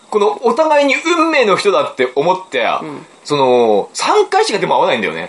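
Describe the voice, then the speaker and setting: A man at a moderate pace with hardly any pauses, over noticeable background noise. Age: 40s. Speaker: book podcast host. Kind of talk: casual chat.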